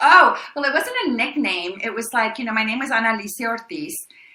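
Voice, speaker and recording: Bright and sharp in tone, this animated voice moves at a fairly quick pace with lively intonation over audible room echo. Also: woman. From El Paso, Texas (born in Mexico). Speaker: actress. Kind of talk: interview. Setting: podcast.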